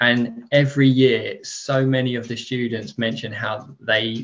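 A man in a British accent talks with monotone, flat intonation. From United Kingdom. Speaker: sports education consultant. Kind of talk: interview.

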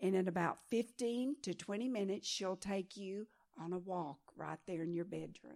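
In a Texan accent, a woman talks at a medium pitch. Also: ordinary pitch variation, moderate pace. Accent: Texan American English. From Texas. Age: 70s. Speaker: pastor and missionary. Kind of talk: sermon.

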